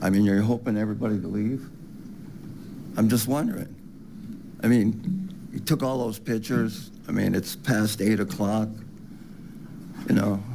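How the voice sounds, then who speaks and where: This man talks at a moderate pace in a fairly low pitch with ordinary pitch variation and a dark, mellow tone, and the room echo is audible. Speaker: public commenter. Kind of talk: public comment. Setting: city council meeting.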